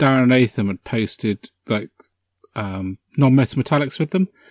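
In a British accent, a man of medium pitch talks at a moderate pace with lively intonation, his voice dry and close with no echo on a very clean recording over a silent background. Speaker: podcast host. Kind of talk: casual chat.

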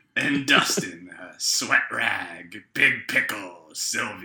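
Putting on a character voice, a man speaks raspy and fairly high-pitched at a very slow pace. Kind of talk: pirate voice.

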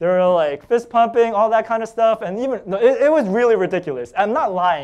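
In a quiet background, a man with an American accent talks at a fairly quick pace, his high-pitched voice carrying lively intonation. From US Northeast (Staten Island, New York City). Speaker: pastor. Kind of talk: sermon. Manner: casual, hesitant with fillers.

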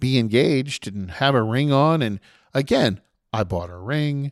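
On a very clean recording with a silent background, a man with an unremarkable speaking voice talks at a medium pitch with lively intonation, the sound dry and close with no echo. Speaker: podcast host. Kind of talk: casual podcast chat and rant.

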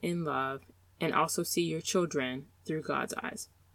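At a fairly slow pace, a woman with an unremarkable speaking voice talks at a fairly low pitch. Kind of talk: guided meditation. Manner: slow, calm, soothing, gently paced with pauses; warm, encouraging, intimate.

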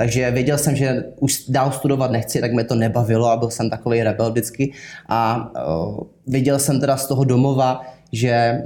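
A man speaks in a dark, mellow tone with monotone, flat intonation. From southern Bohemia, Czechia. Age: 20s. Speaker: sales manager. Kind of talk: interview. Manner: halting.

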